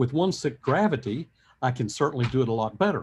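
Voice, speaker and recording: A man with an American accent talks at a very fast pace with lively intonation. His voice is somewhat breathy against a quiet background. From US South. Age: 70s. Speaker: professor. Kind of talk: lecture.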